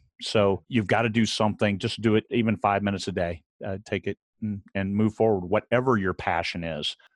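Here is a man with an unremarkable speaking voice at a fairly quick pace. The recording is very clean and dry, close with no echo, over a silent background. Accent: American. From US Midwest. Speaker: author and Marine veteran. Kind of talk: interview.

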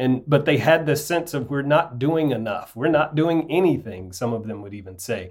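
With an American accent and vocal fry, this voice runs at a moderate pace with hardly any pauses, lively intonation and big swings in loudness. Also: man, fairly high pitch for a man. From US South, rural North Alabama. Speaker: bishop. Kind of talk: interview.

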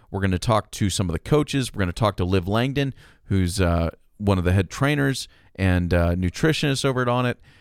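Captured on a very clean recording with a silent background, a man speaks at a moderate pace in an unremarkable speaking voice with a fairly low pitch. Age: 30s. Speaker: podcast host and producer. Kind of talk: casual chat; scripted promo narration.

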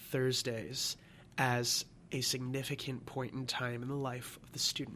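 An ordinary speaking voice with an American accent comes through at a moderate pace in a very clean recording with a silent background. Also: man. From Michigan. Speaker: college student. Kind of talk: interview.

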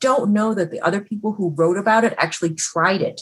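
A woman's voice, somewhat breathy, with an American accent. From Chicago. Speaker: food critic. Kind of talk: panel talk. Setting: video call.

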